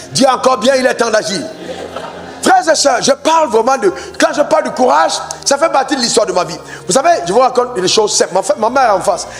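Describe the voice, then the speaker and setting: A man with an extremely high pitch speaks at a very fast pace, his animated tone marked by very wide pitch swings. Long, frequent pauses break up his speech over noticeable background noise and room sound. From Cameroon. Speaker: pastor. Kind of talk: sermon.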